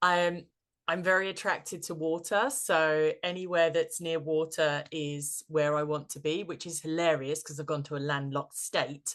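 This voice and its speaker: In a British accent, a woman with a very deep, low pitch speaks at a moderate pace and fairly even intonation over a quiet background. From Britain. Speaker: tarot and practical magic coach. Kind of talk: interview podcast. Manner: hesitant, many fillers and repeats.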